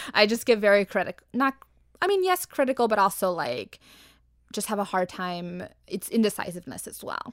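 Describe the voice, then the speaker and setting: A woman with an American accent and a normal speaking voice talks at a fairly quick pace in a medium pitch, her intonation lively and her loudness swinging widely, in a dry, close sound with no echo. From Arizona. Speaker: graphic designer. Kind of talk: casual chat.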